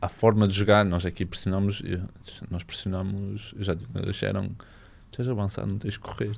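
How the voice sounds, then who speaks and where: A man with a fairly low pitch and fairly even intonation at a moderate pace, with long, frequent pauses. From northern Portugal, Barcelos. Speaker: professional footballer. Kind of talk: casual chat.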